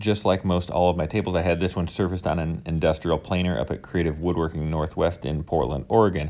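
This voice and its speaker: A very fast male voice, very deep and low in pitch, dark and mellow in tone, with fairly even intonation and hardly any pauses. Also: very clean recording, silent background. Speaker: woodworker and video maker. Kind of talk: tutorial voiceover.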